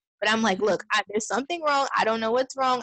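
A woman with an American accent, bright and sharp in tone, in dry, close sound with no echo. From Brooklyn, New York, then Georgia from age 12. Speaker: mother sharing birth story. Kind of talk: interview testimony. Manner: hesitant, many fillers.

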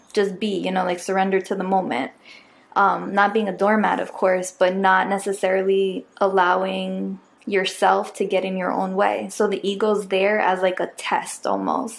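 Here is an unremarkable speaking voice from a woman at medium pitch. She talks at a moderate pace. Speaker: podcast host. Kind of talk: casual reflective conversation.

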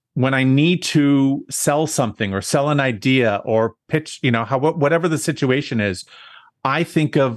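A man with a normal speaking voice talks at a moderate pace, fairly high in pitch with ordinary pitch variation. The background is quiet. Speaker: event designer and planner. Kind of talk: interview.

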